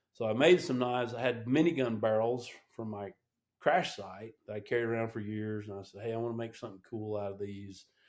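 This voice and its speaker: A normal speaking voice at a fairly quick pace, with big swings in loudness and ordinary pitch variation. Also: man, medium pitch for a man. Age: 60s. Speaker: veteran helicopter pilot and knife maker. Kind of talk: casual interview chat.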